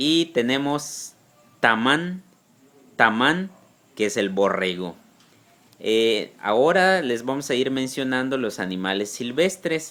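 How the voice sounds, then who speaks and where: The voice has a bright, sharp tone and lively intonation, with a Yucatán accent. It moves at a very slow pace with long, frequent pauses. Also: man, medium pitch for a man. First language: Yucatec Maya (speaking Spanish). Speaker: Maya language teacher. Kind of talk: tutorial. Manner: slow, repeating words for learners.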